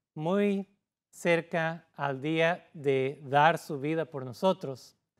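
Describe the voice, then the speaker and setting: A man with a non-native accent speaks at a very slow pace, his voice fairly high with ordinary pitch variation. The recording is very clean, with a silent background. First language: not Spanish (speaking Spanish). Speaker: pastor. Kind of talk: sermon. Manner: halting.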